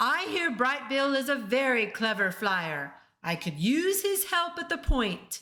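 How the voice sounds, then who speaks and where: Using a put-on character voice, a woman speaks at a fairly slow pace in a high pitch with very wide pitch swings. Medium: read story. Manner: authoritative, formal.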